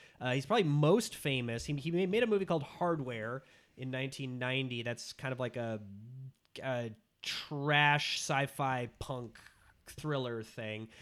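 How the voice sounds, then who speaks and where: Speaking slowly-ish in an American accent, a man has an unremarkable speaking voice at a medium pitch with ordinary pitch variation. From Minnesota. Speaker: podcast guest, movie podcaster. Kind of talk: casual chat.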